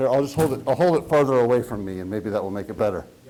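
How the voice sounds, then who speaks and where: A man speaks loudly. His pitch swings very widely. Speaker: seminar host, professor. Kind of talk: speaker introduction.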